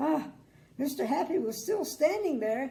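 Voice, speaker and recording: This woman's tone is dark, mellow and warm. Her pitch swings very widely. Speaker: grandmother storyteller. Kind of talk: children's bedtime story reading. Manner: chatty, warm, adds asides.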